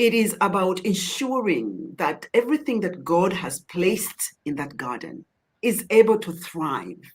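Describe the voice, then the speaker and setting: A woman with a non-native accent and vocal fry speaks at medium pitch and a fairly slow pace, her pitch swinging very widely. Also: big swings in loudness. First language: not English. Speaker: charity chief executive, guest lecturer. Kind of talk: Q&A answer. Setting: online event.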